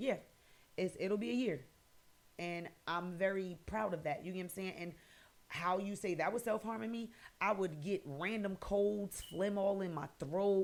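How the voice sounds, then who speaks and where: Here is a woman with an American accent and a plain, everyday voice. Her pitch is medium, with ordinary variation, and her pace is moderate. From New Jersey, Paterson. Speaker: podcast host. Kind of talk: personal testimony podcast monologue. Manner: casual, conversational.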